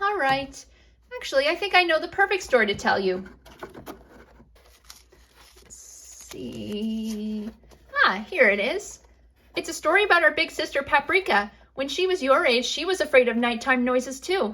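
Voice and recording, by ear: A put-on character voice from a woman, high-pitched and bright and sharp, with lively intonation, a fairly slow pace and long, frequent pauses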